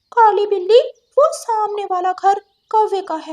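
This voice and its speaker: In a cartoonish character voice, a woman talks at a moderate pace with an extremely high pitch. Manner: chatty, cheeky.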